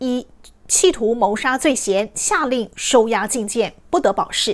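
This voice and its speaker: Her voice is high and lively as this woman talks at a fairly slow pace. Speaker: news anchor. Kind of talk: TV news anchor reading. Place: studio.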